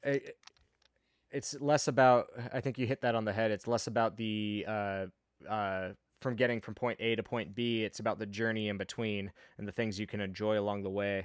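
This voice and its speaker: In a normal speaking voice, a man talks at a fairly quick pace with fairly low pitch and fairly even intonation, the sound dry and close with no echo on a very clean recording with a silent background. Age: 30s. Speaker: motorcycle podcast host. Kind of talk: casual chat.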